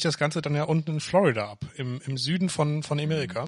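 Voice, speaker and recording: At a moderate pace, a man with a fairly high pitch speaks in a somewhat breathy voice. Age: 20s. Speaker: podcast co-host. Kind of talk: casual chat. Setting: home office.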